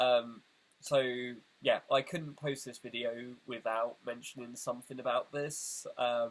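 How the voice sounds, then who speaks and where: A man speaks with a British accent. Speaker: video essayist. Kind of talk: casual direct-to-camera address. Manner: hesitant, many fillers.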